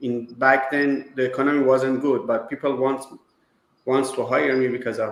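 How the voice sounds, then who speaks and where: A man is speaking. He has a Persian accent. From Iran. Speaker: business owner, kitchen designer. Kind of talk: interview. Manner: halting.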